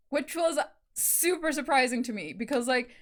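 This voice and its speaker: A woman speaks with a South African accent. Her pitch is high. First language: Afrikaans. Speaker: YouTube reactor. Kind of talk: casual chat. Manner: filler-heavy, hesitant.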